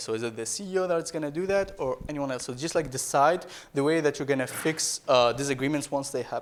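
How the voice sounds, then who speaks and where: Speaking at a fairly quick pace with a non-native accent, a man uses a fairly high pitch and ordinary pitch variation. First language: not English. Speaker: startup founder and keynote speaker. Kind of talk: keynote talk. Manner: halting.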